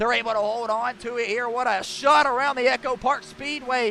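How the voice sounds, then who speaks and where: In an American accent, a man uses a raised, projected voice at an extremely high pitch and a fairly quick pace. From US South, South Carolina. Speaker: racing commentator. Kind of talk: live commentary. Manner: fast; animated.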